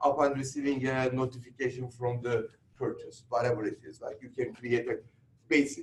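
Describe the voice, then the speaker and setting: A man speaks with a Turkish accent at a fairly quick pace. His voice is somewhat breathy. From Turkey. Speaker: real estate instructor. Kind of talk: lecture.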